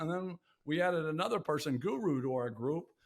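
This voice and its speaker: Talking at a moderate pace, a man with an ordinary speaking voice uses a fairly high pitch and lively intonation. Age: 60s. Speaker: podcast host. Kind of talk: casual chat.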